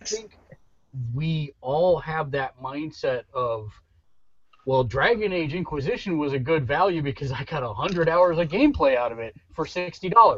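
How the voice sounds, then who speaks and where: With an ordinary speaking voice, a man talks at a fairly slow pace, his fairly high pitch carrying lively intonation. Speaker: podcast host. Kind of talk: casual chat.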